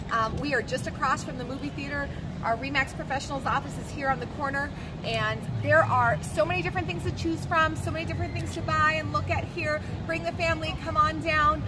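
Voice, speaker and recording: A woman talks at a fairly quick pace while loud background noise fills the recording. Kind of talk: promotional vlog presentation. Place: market.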